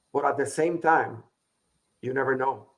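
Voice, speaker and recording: A man speaks at a moderate pace with a strong Latin American accent. His pitch is fairly high. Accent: heavy Latin. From Puerto Rico. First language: Spanish. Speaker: business consultant. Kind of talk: interview.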